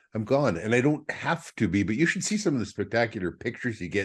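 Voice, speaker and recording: With an Upper Midwest accent, a man talks at a fairly quick pace. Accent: Upper Midwest American. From Minnesota. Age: 60s. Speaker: trapper. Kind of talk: casual chat. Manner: halting, many repetitions.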